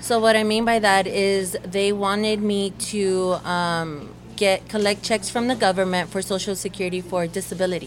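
A woman's medium-pitched voice with an American accent, flat and monotone, with hardly any pauses. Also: moderate pace. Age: young. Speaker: church member and spoken word performer. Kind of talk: casual interview. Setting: coffee shop.

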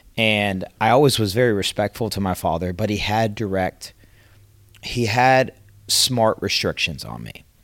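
On a very clean recording with a silent background, a man with an American accent uses a normal speaking voice, fairly low in pitch, at a moderate pace with ordinary pitch variation. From Atlanta, Georgia, US South. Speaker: roofing sales consultant. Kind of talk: casual interview.

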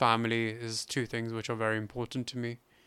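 With a British accent, a man of medium pitch speaks at a fairly slow pace in a monotone, flat intonation on a very clean recording with a silent background. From England. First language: Hindi. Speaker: podcast host, financial services worker, volunteer. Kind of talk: casual interview chat.

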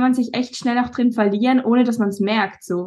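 Her voice is fairly high and somewhat breathy, with monotone, flat intonation. The woman is heard against a quiet background. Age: 20s. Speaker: bodybuilder. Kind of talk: casual chat.

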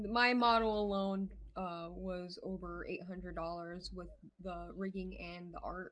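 A woman speaks at a fairly slow pace with big swings in loudness. Noticeable background noise is present. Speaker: VTuber streamer. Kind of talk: casual chat.

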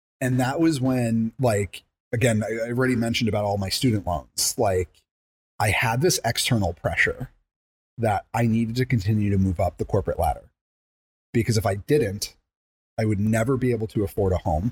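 On a very clean recording with a silent background, a man with an American accent talks at a fairly quick pace in a somewhat breathy voice of medium pitch and ordinary pitch variation. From Long Island, New York. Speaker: salesperson. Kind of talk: casual chat. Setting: studio.

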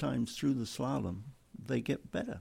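With an English accent, a man speaks at a fairly low pitch in a dark, mellow tone, showing vocal fry and very wide pitch swings. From England. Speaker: racing club executive and driving instructor. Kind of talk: casual chat.

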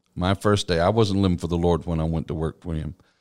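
A man with a Texan accent and a very deep, low pitch, ordinary pitch variation, in a very clean recording with a silent background. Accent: Texan Southern US. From East Texas. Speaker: pastor. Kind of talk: interview.

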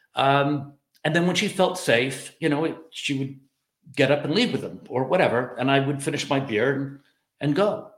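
Pitched fairly high, a man speaks at a moderate pace. His pitch varies in an ordinary way. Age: 50s. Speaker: dating advice vlogger. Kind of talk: casual monologue. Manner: halting, many fillers.

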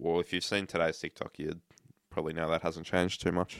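In a dry, close sound with no echo, a man with an Australian accent speaks in a very deep, low pitch and a monotone, flat intonation. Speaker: podcast co-host. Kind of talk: casual chat.

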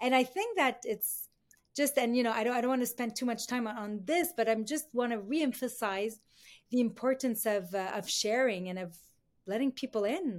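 Speaking at a moderate pace, a woman with a high pitch shows ordinary pitch variation in a very clean recording with a silent background. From Lebanon (Beirut). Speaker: business leader and non-profit founder. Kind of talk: interview conversation.

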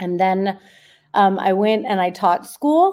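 Her pitch is in the middle range. The speaker is a woman. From US, Los Angeles. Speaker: data scientist and author. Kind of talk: interview.

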